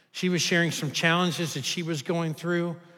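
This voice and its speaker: This man's voice sits fairly high for a man and has a bright, sharp tone. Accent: Kentucky. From Kentucky. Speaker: pastor. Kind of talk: sermon. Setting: church.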